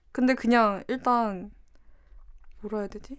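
The speaker is a woman. Her voice sits fairly high. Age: 20s. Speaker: illustrator. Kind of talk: casual chat.

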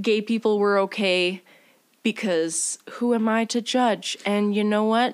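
A woman talks at a fairly slow pace with very even loudness and fairly even intonation. Hers is an ordinary speaking voice. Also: fairly high pitch for a woman. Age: 20s. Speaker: podcast host. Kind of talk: casual chat.

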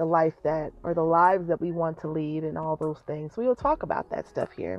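A woman speaks in a fairly low pitch with an American accent. Music plays in the background. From Colorado, Denver. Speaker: small business owner and podcaster. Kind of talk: casual monologue. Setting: in a parked car.

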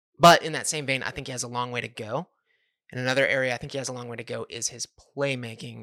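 A man's very fast, medium-pitched delivery with an American accent, vocal fry, a bright, sharp tone and fairly even intonation. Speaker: podcast host and draft writer. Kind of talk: casual chat.

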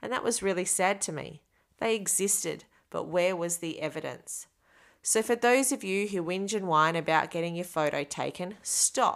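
Here a woman uses a normal speaking voice at medium pitch with ordinary pitch variation. Her pace is moderate, in a very clean recording with a silent background. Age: 40s. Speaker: podcast host. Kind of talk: personal reflection monologue.

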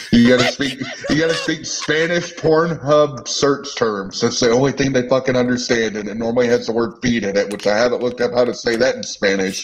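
Noticeable background noise accompanies a man at a medium pitch who talks at a fairly quick pace with hardly any pauses and ordinary pitch variation. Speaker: online political commentator. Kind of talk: casual chat. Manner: brash.

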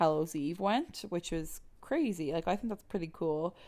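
The recording is very clean, with a silent background. A woman with an Irish accent talks at a moderate pace in a fairly low voice. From Ireland. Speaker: podcast host. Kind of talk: casual chat mixed with read-out research narration. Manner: many fillers (um, like).

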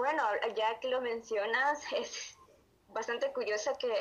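A woman's normal speaking voice at a moderate pace with fairly even intonation. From Honduras. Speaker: amateur writer. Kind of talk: interview.

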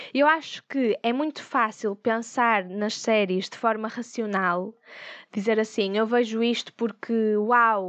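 A woman in a European Portuguese accent speaks at a very slow pace with fairly even intonation, the sound dry and close with no echo against a quiet background. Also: fairly high pitch for a woman. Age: 20s. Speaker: podcast host. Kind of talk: casual solo monologue.

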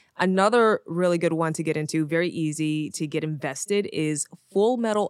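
A normal speaking voice moves at a moderate pace with ordinary pitch variation and hardly any pauses. The recording is very clean with a silent background and a dry, close sound with no echo. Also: woman. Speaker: music producer and content creator, podcast host. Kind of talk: casual interview chat.

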